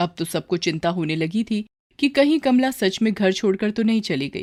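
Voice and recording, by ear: A woman's medium-pitched, slightly mellow voice with lively intonation at a moderate pace, in a very clean recording with a silent background.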